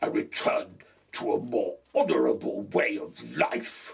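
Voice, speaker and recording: A man growls in a put-on character voice at a fairly slow pace. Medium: read story. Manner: stiff, formal, soldierly.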